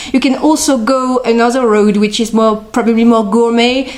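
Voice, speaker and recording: Amid noticeable background noise, a woman with a French accent speaks at a fairly high pitch in a monotone, flat intonation. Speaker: beer and whisky expert. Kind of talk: interview. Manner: hesitant, many fillers.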